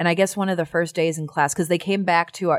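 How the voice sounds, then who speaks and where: In a very clean recording with a silent background, a woman with a Chicago accent talks very fast in an animated tone at a fairly low pitch. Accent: Chicago-area American. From US Midwest, Chicago area. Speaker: actor and musician. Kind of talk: casual interview chat. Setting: studio. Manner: animated, laughing often.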